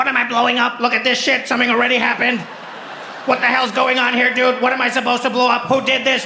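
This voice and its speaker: A man uses a put-on character voice at an extremely high pitch, talking very fast over clear background noise. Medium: stage play. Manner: sci-fi military commands.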